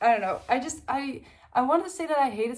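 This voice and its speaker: A woman with lively intonation. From Netherlands. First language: Dutch. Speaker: book youtuber. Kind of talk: casual book review vlog. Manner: casual, many fillers.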